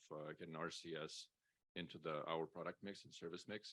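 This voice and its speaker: A man with a non-native accent speaks at a very fast pace. His pitch is very deep and low, with a bright, sharp tone. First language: not English. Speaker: telecom business development manager. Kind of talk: panel discussion.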